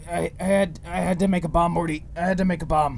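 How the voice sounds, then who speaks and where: A man puts on a strained, raspy character voice at a high pitch. He talks at a fairly quick pace over clear background noise. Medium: fan dub. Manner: rambling, slurred, repetitive, manic.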